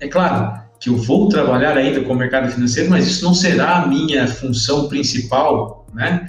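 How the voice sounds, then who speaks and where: Music plays in the background as a man speaks at a moderate pace and medium pitch, his intonation fairly even and audible room echo in the space. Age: 30s. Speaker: dentist changing careers. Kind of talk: casual interview on a live stream.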